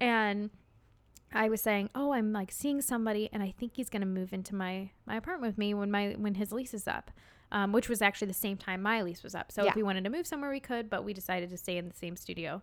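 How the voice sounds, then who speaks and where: A woman with a Midwestern American accent speaking very fast with ordinary pitch variation, in a very clean recording with a silent background. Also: medium pitch for a woman. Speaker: podcast co-host. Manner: fast talker.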